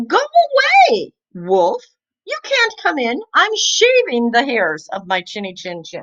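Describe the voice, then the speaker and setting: A woman's put-on character voice, extremely high in pitch, at a fairly slow pace. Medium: read story.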